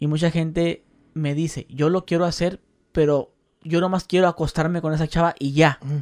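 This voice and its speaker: A man with a fairly high pitch talks at a moderate pace in a plain, everyday voice, the sound dry and close with no echo on a very clean recording with a silent background. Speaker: podcast host and YouTuber. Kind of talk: casual interview chat.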